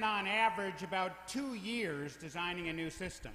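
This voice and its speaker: With a raised, projected voice, a man speaks at a moderate pace amid audible room echo. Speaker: design school professor and event emcee; design school professor, event emcee. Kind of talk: tribute speech. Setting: stage with audience. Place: hall. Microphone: handheld.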